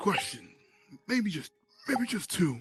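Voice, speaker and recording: In a put-on character voice, the speaker sounds raspy at a fairly high pitch with very wide pitch swings. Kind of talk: mock courtroom speech. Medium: machinima.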